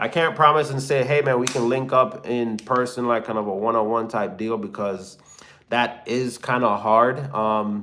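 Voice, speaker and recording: In a relaxed tone with a slight Jamaican accent, the voice keeps a moderate pace and ordinary pitch variation. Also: man, medium pitch for a man. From Jamaica (Kingston). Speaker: hotshot truck driver and YouTuber. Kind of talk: live stream Q&A, reading chat. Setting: live stream. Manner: casual, relaxed.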